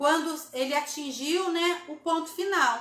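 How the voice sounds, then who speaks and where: A woman's raised, projected voice at a fairly slow pace, bright and sharp in tone, with audible room echo. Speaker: therapy instructor hosting live. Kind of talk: live stream talk. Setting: Instagram live.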